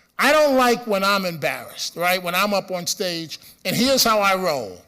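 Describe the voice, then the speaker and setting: A raised, projected voice with a bright, sharp tone, lively intonation and a moderate pace. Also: man, high pitch for a man. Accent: Bronx. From New York City, the Bronx. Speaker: radio host. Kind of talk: conference speech. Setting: stage with audience.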